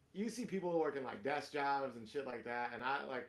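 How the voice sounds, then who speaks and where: A man at a moderate pace and medium pitch, with ordinary pitch variation. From Miami and Atlanta, US South. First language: Spanish. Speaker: comedian. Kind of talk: casual chat.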